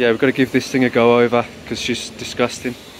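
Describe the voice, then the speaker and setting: Fairly even intonation comes from a man speaking over light background noise. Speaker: car owner vlogger. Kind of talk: casual vlog chat. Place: street. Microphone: phone near.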